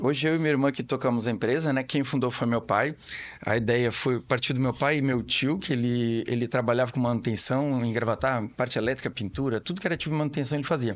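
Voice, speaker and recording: A man's medium-pitched voice races along at a very fast pace, its pitch varying in an ordinary way. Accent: Florianópolis. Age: 40s. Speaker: family business owner. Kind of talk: podcast interview. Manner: halting, with repetitions.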